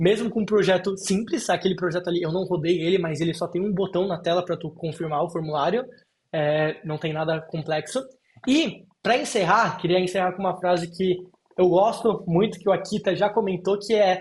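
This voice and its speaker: A man's voice sits high in pitch, with ordinary pitch variation. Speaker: software engineer presenting a talk. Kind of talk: technical presentation. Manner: fast.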